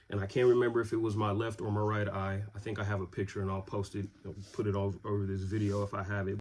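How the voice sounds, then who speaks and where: A monotone voice with flat intonation, recorded very cleanly against a silent background. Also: man. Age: 30s. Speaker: vlogger telling his illness story. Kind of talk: casual personal storytelling. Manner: casual, with many fillers.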